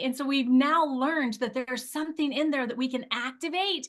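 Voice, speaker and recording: Raised and projected, a woman's high-pitched voice comes across animated, with a bright, sharp tone. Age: 50s. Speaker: weight loss product user sharing results. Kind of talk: testimony.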